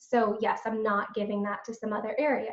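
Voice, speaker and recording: A woman's fairly high-pitched voice at a moderate pace, an ordinary speaking voice. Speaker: executive and financial coach. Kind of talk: webinar presentation.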